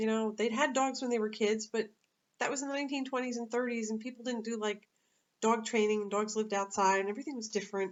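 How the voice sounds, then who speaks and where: Intonation stays fairly even. The pace is very fast. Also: woman, fairly high pitch for a woman. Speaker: dog walker and pet sitter. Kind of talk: casual vlog monologue. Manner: halting, many fillers.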